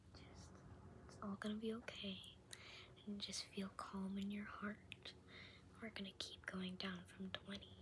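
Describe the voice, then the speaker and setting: Over noticeable background noise, a woman talks at a fairly slow pace, leaving long, frequent pauses. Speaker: ASMR creator. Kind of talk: ASMR sleep affirmations. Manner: soft-spoken. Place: home room. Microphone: phone near.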